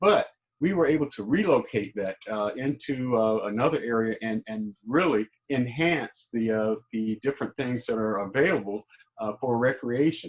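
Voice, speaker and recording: A man with an American accent speaks at a moderate pace in a medium pitch, his intonation lively and the sound dry and close with no echo. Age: 60s. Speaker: mayoral candidate. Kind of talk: candidate forum answer. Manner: halting, many fillers.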